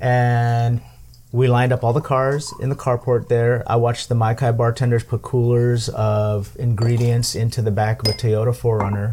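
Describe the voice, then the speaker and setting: This man talks at a medium pitch in a dark, mellow tone that is somewhat breathy, with monotone, flat intonation and very even loudness. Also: moderate pace. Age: 50s. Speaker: podcast host. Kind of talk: casual chat. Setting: home tiki bar.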